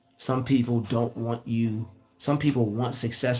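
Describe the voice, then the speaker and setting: Somewhat breathy, a man speaks at a moderate pace and medium pitch with ordinary pitch variation. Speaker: YouTuber giving motivational talks. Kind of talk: livestream monologue. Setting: live stream. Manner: repetitive, stammering; casual.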